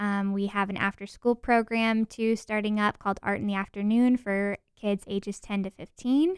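A woman speaks at a medium pitch and a moderate pace with fairly even intonation, in a normal speaking voice. The sound is dry and close with no echo, on a very clean recording with a silent background. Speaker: museum marketing staff. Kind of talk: interview.

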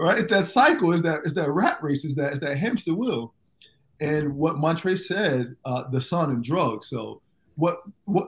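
With an American accent, a man in an unremarkable speaking voice talks at a fairly high pitch and a moderate pace. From US South, Fort Myers, Florida, Jamaican background. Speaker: former pro basketball player, entrepreneur. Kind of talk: interview, personal story.

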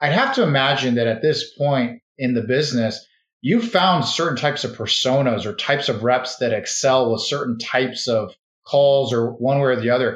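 This man has a plain, everyday voice at medium pitch. He keeps a moderate pace and fairly even intonation. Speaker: podcast host. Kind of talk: interview.

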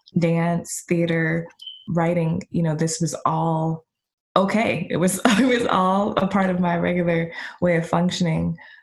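With an American accent, a woman in an unremarkable speaking voice talks fairly slowly at a fairly low pitch, her intonation fairly even. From Ohio, US Midwest. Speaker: dancer, choreographer and professor. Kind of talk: interview.

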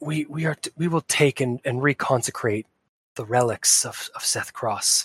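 A man whispers very slowly, using a put-on character voice.

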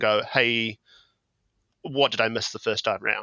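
This man speaks with a New Zealand accent. His pace is fairly quick and his intonation fairly even. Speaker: television researcher and fan site contributor. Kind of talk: casual chat.

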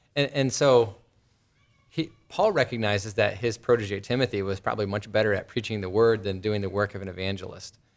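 In a very clean recording with a silent background, a man with a normal speaking voice talks fairly quickly at a fairly low pitch, with ordinary pitch variation. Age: 30s. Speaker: podcast host, Bible teacher. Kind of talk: casual interview.

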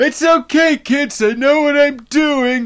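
Using a put-on character voice, a man speaks at an extremely high pitch. His pace is fairly slow. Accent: Canadian. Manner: reassuring, overconfident.

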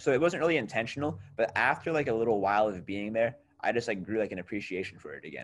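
A man at medium pitch, talking at a very fast pace with lively intonation and big swings in loudness. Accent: American. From New York state, small town. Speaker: musician. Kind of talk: casual chat.

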